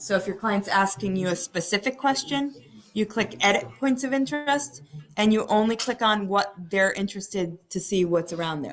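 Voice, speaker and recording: Here is a woman at a medium pitch. Her intonation is lively. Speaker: real estate trainer. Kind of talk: training webinar. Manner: fast.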